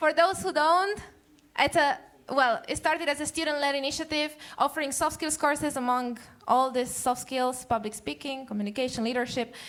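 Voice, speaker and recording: Her pitch sits high for a woman, and it varies in an ordinary way. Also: fairly quick pace. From Romania. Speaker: public speaking trainer. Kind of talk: talk show interview. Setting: stage with audience. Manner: fast.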